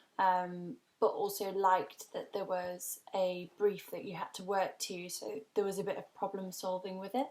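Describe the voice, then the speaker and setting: A woman with an English accent talks at a medium pitch in a monotone, flat intonation. She hardly pauses, and her loudness swings widely. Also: moderate pace. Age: 20s. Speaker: graphic designer. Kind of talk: career talk. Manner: hesitant, many ums.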